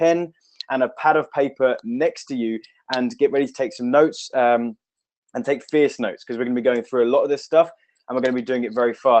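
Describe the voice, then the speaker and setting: A man is talking. His pace is fairly quick. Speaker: online marketing trainer. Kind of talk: live webinar training. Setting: home office. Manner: fast; animated. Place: office. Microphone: webcam.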